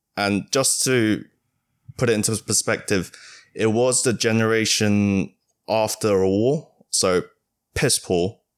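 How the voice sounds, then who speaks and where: Speaking at a very slow pace with long, frequent pauses, a man with a fairly low pitch keeps his intonation fairly even in a very clean recording against a silent background. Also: very even loudness. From East Asia. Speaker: office worker. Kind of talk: casual chat.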